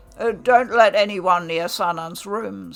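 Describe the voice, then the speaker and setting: Putting on a raspy character voice, a woman speaks at a fairly slow pace with a medium pitch. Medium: read story. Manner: curt, commanding.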